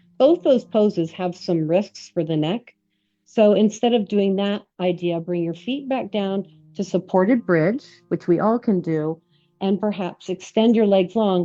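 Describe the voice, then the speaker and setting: Music plays in the background as a woman speaks at a fairly slow pace and medium pitch with ordinary pitch variation. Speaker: yoga teacher. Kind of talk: guided yoga class. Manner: relaxed, conversational.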